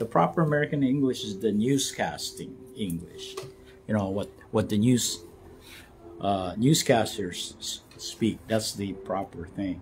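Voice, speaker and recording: Music plays in the background as a man speaks at a fairly slow pace. His fairly low pitch carries lively intonation. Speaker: vlogger / actor. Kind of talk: casual livestream monologue. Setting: Instagram live vlog. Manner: halting, many fillers and repetitions.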